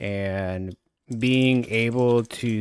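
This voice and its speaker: A mumbling man at a medium pitch. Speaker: gaming streamer. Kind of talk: live stream gameplay guide.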